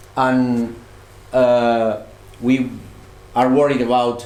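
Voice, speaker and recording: A man speaks at a medium pitch. The recording carries audible room echo. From Catalonia, Spain (Barcelona). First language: Catalan or Spanish. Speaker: student researcher. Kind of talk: presentation. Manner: halting.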